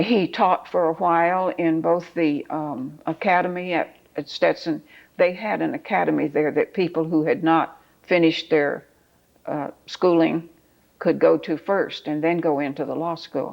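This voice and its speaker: A woman with a fairly low pitch and vocal fry talks at a fairly slow pace with fairly even intonation in a very clean recording with a silent background. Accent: American. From Florida, Stuart area. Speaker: oral history interviewee. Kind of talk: oral history interview. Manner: hesitant, many fillers.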